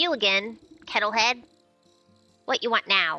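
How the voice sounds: Cackling in a put-on character voice, a woman speaks at a moderate pace and fairly high pitch over faint background music.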